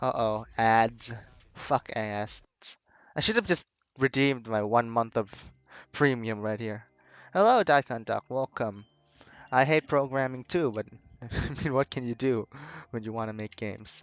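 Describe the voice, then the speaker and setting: A man with a medium-pitched voice speaks over background music, his ordinary pitch variation broken by long, frequent pauses, in a dry, close recording with no echo. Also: fairly slow pace. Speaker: game developer streamer. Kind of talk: casual live stream chat. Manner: toned down, not loud.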